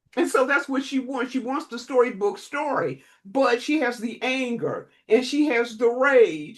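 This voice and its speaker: A woman with a high voice talks at a fairly slow pace with hardly any pauses, her pitch varying in an ordinary way. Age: 70s. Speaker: relationship counselor. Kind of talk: podcast interview. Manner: emphatic.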